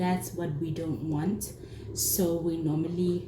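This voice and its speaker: Audible room echo surrounds this woman's voice. Her pitch is fairly low. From South Africa, Durban. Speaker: cooking vlogger. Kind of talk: casual cooking tutorial. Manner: hesitant, many fillers.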